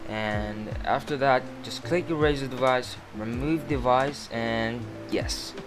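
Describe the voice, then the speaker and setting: Music plays in the background as a man with a non-native accent speaks at a very slow pace with ordinary pitch variation. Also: medium pitch for a man. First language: not English. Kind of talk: casual screen-recording tech tutorial.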